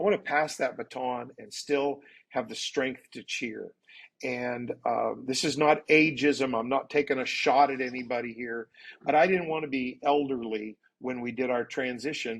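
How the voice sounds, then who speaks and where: In an unremarkable speaking voice, a man at medium pitch keeps his intonation fairly even at a moderate pace while his loudness swings widely. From Canada. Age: 60s. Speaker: pastor. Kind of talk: interview.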